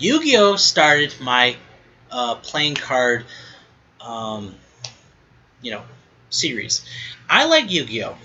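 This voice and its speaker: Long, frequent pauses and a very slow pace, with noticeable background noise. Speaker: podcast host. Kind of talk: casual monologue. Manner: mumbling at times; halting, many fillers and restarts.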